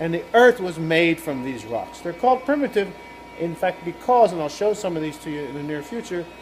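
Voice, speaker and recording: Noticeable background noise sits behind a man's high voice. He speaks at a fairly quick pace with lively intonation. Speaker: professor. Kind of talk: video blog explainer. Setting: laboratory. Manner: fast.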